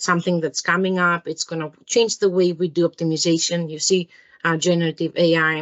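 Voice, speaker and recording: Speaking at a fairly quick pace, a woman uses a fairly low pitch and a Greek accent. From Greece. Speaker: engineering product manager. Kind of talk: interview. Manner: enthusiastic.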